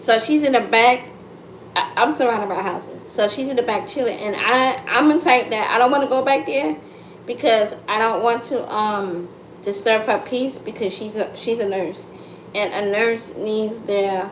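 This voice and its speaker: An animated tone at a moderate pace with ordinary pitch variation, amid audible room echo and noticeable background noise. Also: woman, fairly high pitch for a woman. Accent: American. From United States. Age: 30s. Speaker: content creator livestreamer. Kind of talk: casual livestream chat. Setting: live stream at home. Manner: loud.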